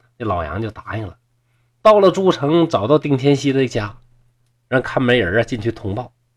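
Speaking with a northeastern Chinese accent, a man uses an animated tone at a medium pitch and moderate pace, with long, frequent pauses. His voice shows very wide pitch swings and big swings in loudness. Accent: northeastern Mandarin (Dongbei). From Shenyang, Liaoning, northeast China. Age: 40s. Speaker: storyteller podcaster. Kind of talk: storytelling narration.

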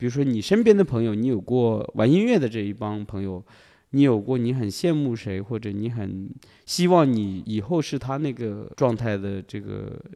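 Over a quiet background, a man with a strong Hunan accent speaks at medium pitch, with ordinary pitch variation and a dark, mellow tone. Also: moderate pace. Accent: strong Hunan accent in Mandarin. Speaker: young artist. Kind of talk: casual chat.

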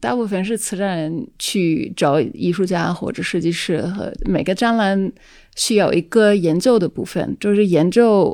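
On a very clean recording with a silent background, a woman with a dark, mellow tone and medium pitch speaks at a fairly slow pace with ordinary pitch variation. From Netherlands. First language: Dutch (speaking Chinese). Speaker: independent curator. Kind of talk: casual chat. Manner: halting, many fillers.

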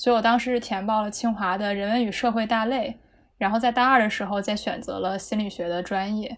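A woman talks in a normal speaking voice at a fairly quick pace. Her pitch sits fairly high, with ordinary pitch variation. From Beijing, China. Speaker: psychology graduate. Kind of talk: casual chat.

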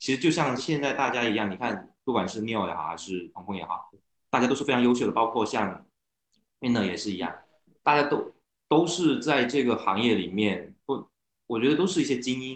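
An ordinary speaking voice from a man, medium in pitch, fairly quick, with lively intonation. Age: 30s. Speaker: car owner, internet operations worker. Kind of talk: casual chat. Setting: online meeting.

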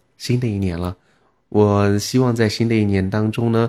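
In a very clean recording with a silent background, a man with a dark, mellow tone and fairly low pitch speaks at a moderate pace with fairly even intonation. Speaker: radio-style podcast host. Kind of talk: casual monologue to listeners. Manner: chatty, intimate late-night tone.

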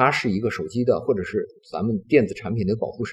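A man's somewhat breathy voice at a very fast pace. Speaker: semiconductor company executive. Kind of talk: interview. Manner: calm, gentle.

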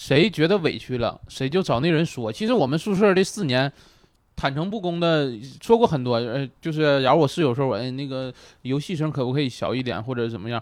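With an ordinary speaking voice, a man with a fairly high pitch talks at a fairly quick pace with lively intonation on a very clean recording with a silent background. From Northeast China. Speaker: comedian. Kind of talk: casual chat.

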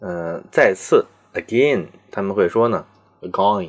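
The man's pitch is fairly low. His pace is very slow. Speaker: podcast host. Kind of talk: solo educational monologue.

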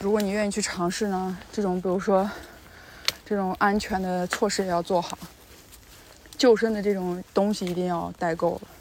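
The speech moves at a moderate pace with long, frequent pauses. Intonation is monotone and flat, and background noise is noticeable. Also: woman, medium pitch for a woman. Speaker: travel vlogger. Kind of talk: casual vlog narration.

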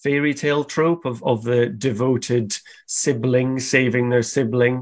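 Medium-pitched male voice against a quiet background. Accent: Scottish. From Scotland, countryside. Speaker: cartoonist and illustrator. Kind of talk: interview.

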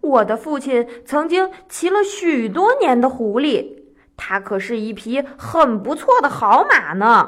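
Using a put-on character voice, a woman speaks at a fairly slow pace with a high pitch, big pitch swings and a fairly bright tone.

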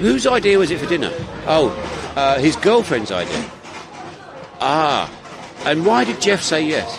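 A man with an English accent and a fairly high pitch swings very widely in pitch, leaving long, frequent pauses, with audible room echo and noticeable background noise. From England. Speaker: podcast co-host. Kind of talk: casual chat. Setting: cafe.

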